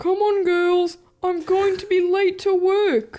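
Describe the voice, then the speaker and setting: This is a cartoonish character voice at an extremely high pitch. It moves at a fairly slow pace. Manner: flat, stilted.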